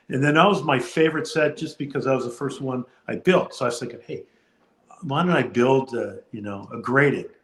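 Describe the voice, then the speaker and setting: The speech moves at a fairly quick pace, somewhat breathy. Pitch varies in an ordinary way. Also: man, fairly high pitch for a man. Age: 60s. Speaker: card collector and video creator.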